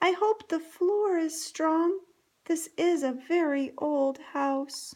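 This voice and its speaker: A woman's put-on character voice, extremely high-pitched and very slow. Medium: read story.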